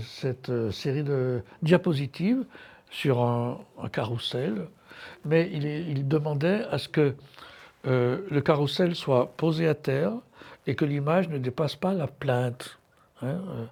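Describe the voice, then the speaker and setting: A man speaking fairly high at a very slow pace, with ordinary pitch variation and long, frequent pauses, in a very clean recording with a silent background. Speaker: art curator giving a lecture. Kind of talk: lecture. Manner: halting, many hesitations.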